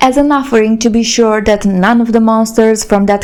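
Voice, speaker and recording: A woman speaks with a Romanian accent at a fairly high pitch. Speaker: YouTuber. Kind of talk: casual storytelling monologue.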